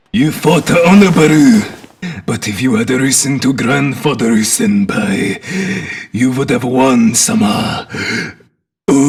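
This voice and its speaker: A man's cartoonish character voice at a fairly slow pace, with very wide pitch swings and long, frequent pauses. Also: fairly high pitch for a man. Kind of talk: comic overacting. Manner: pompous, theatrical.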